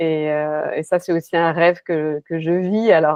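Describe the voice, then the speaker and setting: A woman speaks with a fairly low pitch. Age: 50s. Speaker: life coach. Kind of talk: interview. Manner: halting, many fillers.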